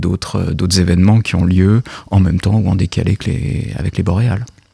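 A man talks with lively intonation and a very deep, low pitch. His voice carries vocal fry. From France, Paris. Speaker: literary translator and university lecturer. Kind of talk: radio interview.

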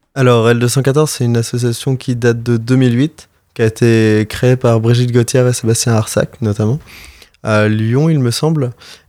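A man delivers his words at a fairly slow pace in a medium pitch, his dark, mellow tone flat and monotone with very even loudness. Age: young. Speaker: animal rights association volunteer. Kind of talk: interview. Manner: halting.

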